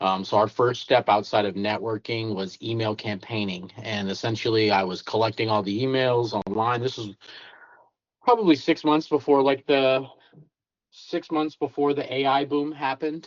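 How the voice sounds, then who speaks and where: In a normal speaking voice, a man talks at a moderate pace and medium pitch, his pitch varying in an ordinary way. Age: 30s. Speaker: cleaning business owner. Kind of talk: interview. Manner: casual, filler-heavy.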